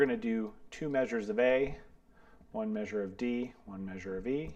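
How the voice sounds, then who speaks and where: Speaking at a moderate pace with lively intonation, a man has an unremarkable speaking voice at medium pitch. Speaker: bass teacher. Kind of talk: tutorial. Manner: casual, filler-heavy.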